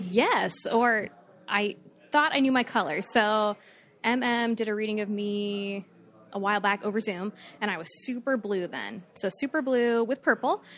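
Against a quiet background, a woman with an American accent speaks fairly slowly in a plain, everyday voice, her fairly high pitch showing ordinary variation. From Florida, Fort Myers. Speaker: podcast listener guest. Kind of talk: storytelling.

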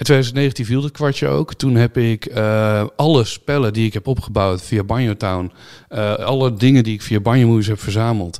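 An unremarkable speaking voice from a man, medium in pitch with ordinary pitch variation, at a moderate pace on a very clean recording with a silent background. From Netherlands. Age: 30s. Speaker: YouTuber and streamer. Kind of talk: casual interview.

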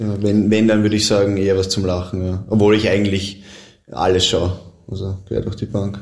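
Heard with audible room echo, a man with a Viennese accent speaks in a fairly low, monotone, flat voice. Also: moderate pace. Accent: Viennese Austrian German. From Austria, Vienna. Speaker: professional footballer. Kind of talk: casual interview.

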